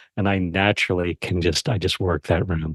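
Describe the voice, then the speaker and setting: A man's energetic tone at a moderate pace, dry and close with no echo, over a quiet background. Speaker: podcast guesting strategist, former yoga teacher. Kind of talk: interview. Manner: projected.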